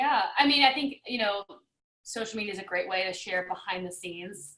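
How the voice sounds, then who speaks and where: Talking at a fairly quick pace, a woman keeps a medium pitch with ordinary pitch variation. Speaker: video producer, filmmaker. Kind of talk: casual interview chat. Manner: fast-talking.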